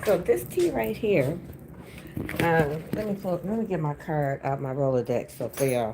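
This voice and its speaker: Noticeable background noise sits behind a woman who talks at a fairly slow pace, her pitch swinging very widely. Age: 60s. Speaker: spiritual energy reader and livestreamer. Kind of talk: casual livestream chat. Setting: livestream. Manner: animated.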